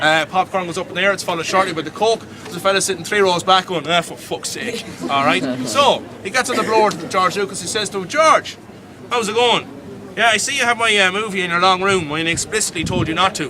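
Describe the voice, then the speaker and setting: A man with a Dublin accent speaks in a raised, projected voice at a high pitch and a very fast pace. His tone is animated, and noticeable background noise is present. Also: ordinary pitch variation. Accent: Irish (Dublin). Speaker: tour guide. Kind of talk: live guided tour storytelling. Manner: comedic, animated.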